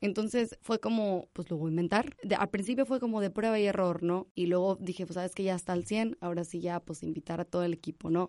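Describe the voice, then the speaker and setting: A woman talks at a fairly quick pace with hardly any pauses, in a dark, mellow tone at a medium pitch with ordinary pitch variation. The background is quiet and the sound is dry and close with no echo. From Monterrey, Nuevo León, Mexico. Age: 20s. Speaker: animal rescue founder. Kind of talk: interview. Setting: studio.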